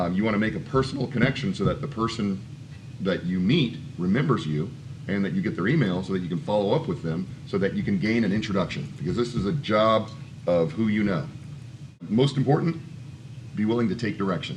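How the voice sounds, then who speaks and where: A man speaks in a plain, everyday voice, pitched fairly low. His intonation is lively. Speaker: voice acting coach. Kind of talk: conference panel talk. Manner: casual, conversational.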